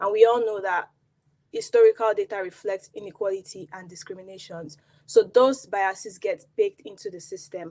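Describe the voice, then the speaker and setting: A woman with a Nigerian accent talks at a moderate pace. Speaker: product designer. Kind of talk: conference talk.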